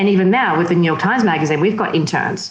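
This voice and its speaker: A woman talks with an Australian accent. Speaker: magazine editor and publisher. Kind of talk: interview.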